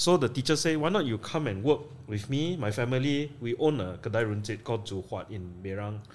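At a moderate pace, a man with a Malaysian accent speaks in very wide pitch swings. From Malaysia, Penang. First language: English (speaking Chinese). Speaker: film director. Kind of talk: interview. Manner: halting, code-switching.

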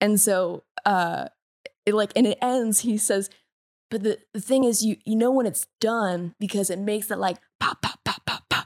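A woman speaks in an ordinary speaking voice, fairly high-pitched, at a moderate pace with fairly even intonation. The sound is dry and close, with no echo. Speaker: podcast co-host and playwright. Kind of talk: casual interview chat. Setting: remote recording, dogs barking.

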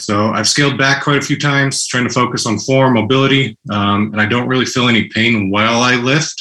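With a bright, sharp tone, a man speaks at a moderate pace using ordinary pitch variation. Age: 30s. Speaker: podcast caller. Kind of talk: casual chat.

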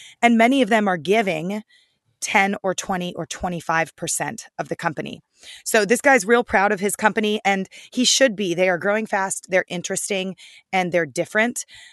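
An unremarkable speaking voice at a moderate pace, with a dry, close sound, no echo and a quiet background. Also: woman, medium pitch for a woman, ordinary pitch variation. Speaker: food reporter. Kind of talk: casual chat and interview.

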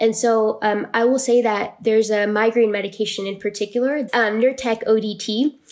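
A woman's plain, everyday voice, pitched fairly high. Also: fairly even intonation, moderate pace. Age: 20s. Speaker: patient advocate. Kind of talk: interview.

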